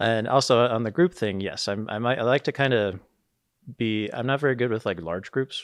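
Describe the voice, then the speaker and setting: Mumbling, a man talks at a moderate pace. His pitch varies in an ordinary way. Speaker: live sports video director. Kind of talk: casual chat. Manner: tends to mumble; hesitant, many fillers.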